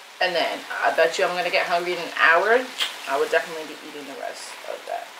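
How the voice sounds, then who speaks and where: Noticeable background noise sits under speech that moves at a very fast pace. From New York. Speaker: mukbang vlogger. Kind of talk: casual eating vlog talk. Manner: casual, filler-heavy.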